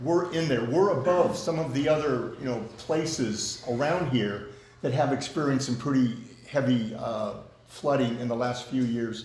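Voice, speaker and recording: The speaker goes at a moderate pace with ordinary pitch variation. Audible room echo and noticeable background noise are present. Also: man, medium pitch for a man. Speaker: community club officer chairing meeting. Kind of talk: meeting discussion. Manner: loud.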